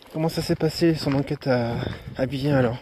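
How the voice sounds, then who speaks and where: Against noticeable background noise, a man speaks at a medium pitch. His pace is fairly slow and his intonation fairly even. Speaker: paranormal investigator streaming live. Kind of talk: live stream commentary. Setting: outdoors at night, live stream.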